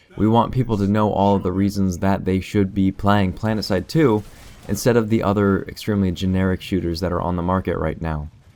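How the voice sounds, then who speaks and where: A man's fairly low voice at a fairly quick pace, with fairly even intonation and music in the background. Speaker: game video creator. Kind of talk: casual talk to camera.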